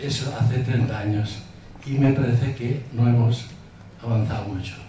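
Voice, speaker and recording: Against noticeable background noise and audible room echo, a man of medium pitch speaks at a moderate pace with fairly even intonation. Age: 80s+. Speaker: audience member. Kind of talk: Q&A at conference.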